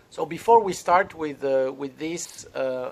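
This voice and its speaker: Speaking at a fairly slow pace, a man has a fairly high pitch and ordinary pitch variation. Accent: French. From France. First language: French. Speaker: crypto consultant and trainer. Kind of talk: lecture-style training session. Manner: halting, many fillers.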